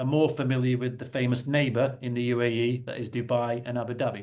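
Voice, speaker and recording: Talking at a moderate pace, a man speaks with a northern English accent. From northern England, Salford. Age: 40s. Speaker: property investor and company executive. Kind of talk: webinar presentation. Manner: halting, self-correcting.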